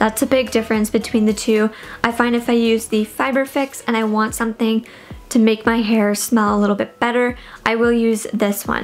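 A woman's fairly high voice at a moderate pace, with little pitch movement, few pauses and faint background noise.

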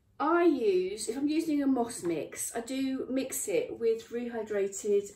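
There is light background noise and audible room echo as a woman speaks. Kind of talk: tutorial. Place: workshop. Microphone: camera far.

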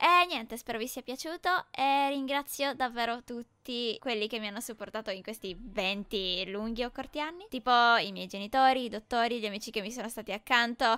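Her tone is bright and sharp. The woman's pitch sits fairly high and shows ordinary variation. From northern Italy, Brescia. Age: 20s. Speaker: gaming YouTuber. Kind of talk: personal storytelling narration.

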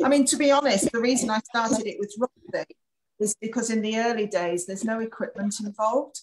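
Over light background noise, a woman with a New Zealand accent speaks at a fairly quick pace, her fairly high, somewhat breathy voice showing ordinary pitch variation. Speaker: dog agility and obedience competitor. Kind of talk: casual chat. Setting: video call. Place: home room. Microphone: video call.

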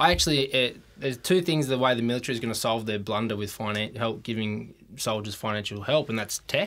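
Speaking at a very fast pace with an Australian accent, this man uses ordinary pitch variation. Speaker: financial adviser, ex-military; podcast guest. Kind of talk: casual interview chat. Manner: energetic. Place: studio. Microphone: studio mic.

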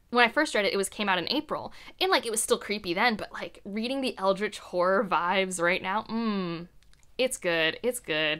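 With a Midwestern American accent, a woman speaks in an animated tone with very wide pitch swings. The background stays quiet. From US Midwest, Ohio. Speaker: book content creator. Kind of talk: casual monologue to camera. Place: home room.

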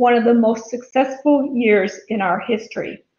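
A woman's high-pitched voice with fairly even intonation at a moderate pace, light background noise and audible room echo. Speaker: chamber chair giving report. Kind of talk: formal report speech. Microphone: webcam.

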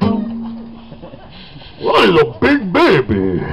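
The voice reads in an unforced way.

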